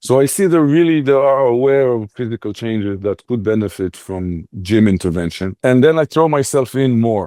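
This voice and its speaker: Over a quiet background, a man with a non-native accent speaks at a fairly quick pace and medium pitch, his tone dark and mellow and his intonation lively. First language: not English. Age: 50s. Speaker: fitness studio owner and coach. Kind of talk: interview.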